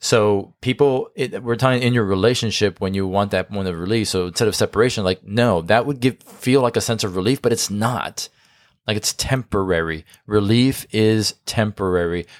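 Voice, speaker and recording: A man speaks at a fairly low pitch with ordinary variation. The sound is dry and close with no echo, on a very clean recording with a silent background. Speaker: marriage podcast co-host and coach. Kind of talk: casual chat. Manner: fast.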